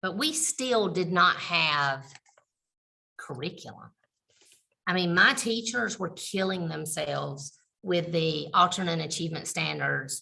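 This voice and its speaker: A woman speaks with a bright, sharp tone and vocal fry. Her speech has long, frequent pauses. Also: fairly low pitch for a woman, lively intonation, fairly slow pace. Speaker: special education administrator. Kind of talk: webinar presentation. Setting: video call from computer.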